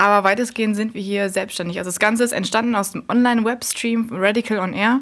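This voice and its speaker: At a fairly quick pace, the speaker uses a normal speaking voice with fairly even intonation. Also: woman. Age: 20s. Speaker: student radio volunteer. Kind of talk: casual interview. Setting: university radio station.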